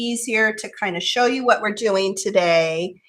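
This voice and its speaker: Over noticeable background noise, the woman keeps a moderate pace. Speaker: crafter hosting a craft livestream. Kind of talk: tutorial with casual chat. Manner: casual, hesitant with fillers.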